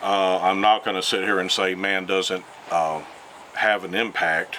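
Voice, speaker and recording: A man with an Alabama accent speaks at a moderate pace in a very deep, low pitch over noticeable background noise. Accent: Southern US (Alabama). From US South, Mobile, Alabama. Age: 60s. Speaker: retired environmental scientist. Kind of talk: interview. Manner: hesitant, many fillers.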